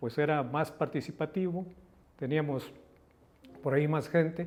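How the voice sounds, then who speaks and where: In a Mexican accent, a man speaks at a fairly high pitch with ordinary pitch variation. His pace is fairly slow. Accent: Mexican Spanish (Jalisco). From Mexico, Guadalajara (Jalisco). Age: 70s. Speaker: politician. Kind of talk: interview.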